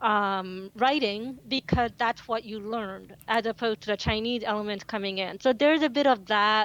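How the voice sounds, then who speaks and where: The speaker has a non-native accent, and the sound is dry and close with no echo. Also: woman, very clean recording, silent background. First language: not English. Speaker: cybersecurity journalist. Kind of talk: interview.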